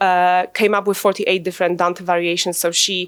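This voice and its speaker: A woman's medium-pitched voice in a Polish accent at a fairly quick pace. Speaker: translator and academic. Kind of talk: conference presentation. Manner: hesitant, many fillers.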